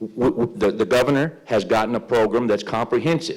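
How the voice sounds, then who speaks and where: A man with a West Tennessee accent, medium in pitch, at a moderate pace with lively intonation. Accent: Southern US (West Tennessee). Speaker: politician. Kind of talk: closing statement at candidate forum. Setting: public forum in a library with audience. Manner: halting, many fillers and repetitions.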